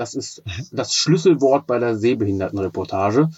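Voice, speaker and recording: This is a normal speaking voice from a man at medium pitch. He talks at a moderate pace. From Braunschweig, northern Germany. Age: 40s. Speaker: teacher and blind-radio football commentator. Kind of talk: casual interview.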